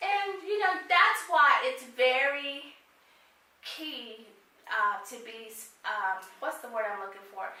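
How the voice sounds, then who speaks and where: A woman speaks in a raised, projected voice with high pitch, very wide pitch swings and big swings in loudness. Her pace is very slow with long, frequent pauses, over noticeable background noise and audible room echo. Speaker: career advice consultant. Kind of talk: interview chat. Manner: animated.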